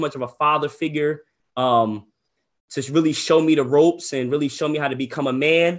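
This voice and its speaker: A man with an American accent and a plain, everyday voice talks at a fairly quick pace and fairly high pitch, his intonation fairly even. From New Jersey, Ocean County. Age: 20s. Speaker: real estate wholesaler and coach. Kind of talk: webinar. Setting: livestream from computer desk. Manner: casual, filler-heavy.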